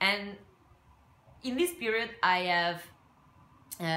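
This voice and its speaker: A woman speaks very slowly in an Italian accent, her pitch fairly low. Her tone is bright and sharp, with audible room echo around it. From Italy. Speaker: craft and scrapbooking YouTuber. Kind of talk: casual vlog talk to camera. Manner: halting, many fillers.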